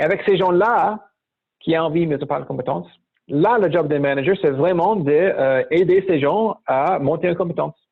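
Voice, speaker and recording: In an American accent, a man speaks at a moderate pace with a fairly high pitch and ordinary pitch variation. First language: English (speaking French). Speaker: startup founder and management mentor. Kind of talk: interview. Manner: hesitant, many fillers.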